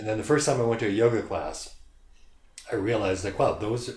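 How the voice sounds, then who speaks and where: A man talks at a fairly quick pace with a fairly low pitch, ordinary pitch variation, and a somewhat breathy quality. Audible room echo surrounds his voice. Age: 60s. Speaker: yoga studio founder. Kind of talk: casual interview.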